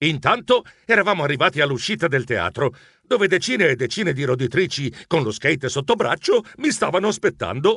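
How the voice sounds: Reading done in a natural voice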